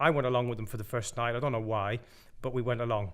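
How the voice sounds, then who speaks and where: The intonation stays fairly even throughout. Audible room echo surrounds the voice. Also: man. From Ireland. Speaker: pastor. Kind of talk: testimony. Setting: pre-recorded video.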